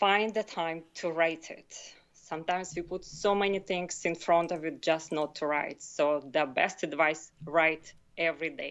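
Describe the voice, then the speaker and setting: A woman with a non-native accent speaks slowly-ish, at a fairly slow pace, with a fairly low pitch and fairly even intonation. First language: not English. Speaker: author and health consultant. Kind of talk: podcast interview. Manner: halting.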